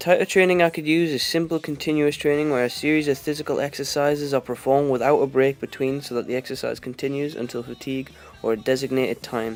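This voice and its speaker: Music plays in the background as a man talks at a very fast pace with hardly any pauses. His fairly high voice keeps a fairly even intonation. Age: 18. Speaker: fitness student. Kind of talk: reading aloud. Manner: halting.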